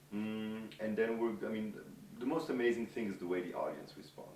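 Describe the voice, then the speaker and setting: A man's fairly low voice at a fairly quick pace, with noticeable background noise and audible room echo. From France and Quebec. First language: French. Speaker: film director. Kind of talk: interview. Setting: film festival.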